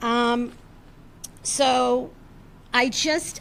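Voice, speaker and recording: With an American accent, a woman speaks at a high pitch and with ordinary pitch variation. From Massachusetts, US. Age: 70s. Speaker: resident speaking at public meeting. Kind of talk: public comment. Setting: town board meeting.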